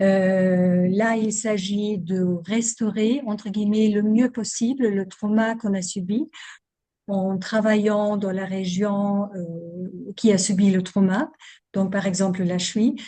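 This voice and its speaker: A woman's somewhat breathy, dark and mellow voice at medium pitch, very slow and fairly even in intonation. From Germany. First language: German (speaking French). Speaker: physiotherapist and somatic movement practitioner. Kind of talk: interview.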